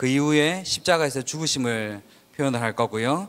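Talking fairly quickly, a man uses a normal speaking voice, medium in pitch with ordinary pitch variation. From Daegu, South Korea. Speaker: concert emcee. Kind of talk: event emceeing. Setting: stage with audience.

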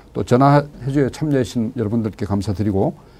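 His tone is dark and mellow, and his pitch shows ordinary variation. The man keeps a fairly quick pace. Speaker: pastor and co-host.

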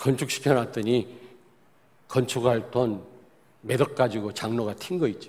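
A man with a medium-pitched voice speaks at a fairly slow pace with ordinary pitch variation, leaving long, frequent pauses. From South Korea, Daejeon. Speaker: pastor. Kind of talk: sermon.

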